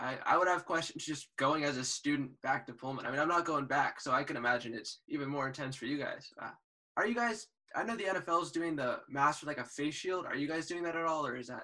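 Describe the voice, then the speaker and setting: A man with an American accent, a fairly high pitch, ordinary pitch variation and a very fast pace. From San Francisco, California. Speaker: student podcast host. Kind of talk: interview. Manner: casual, upbeat.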